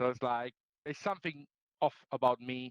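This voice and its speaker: A man with an Italian accent, recorded with a dry, close sound with no echo. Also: quiet background. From Italy. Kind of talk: talk to a group. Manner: fast; halting, many fillers.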